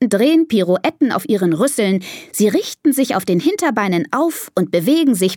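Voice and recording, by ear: The text is read aloud in a natural voice.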